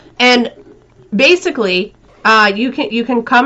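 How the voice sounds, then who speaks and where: At a moderate pace, the speaker talks with an American accent. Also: woman. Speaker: political commentary show host. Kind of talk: casual political chat. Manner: hesitant, many fillers.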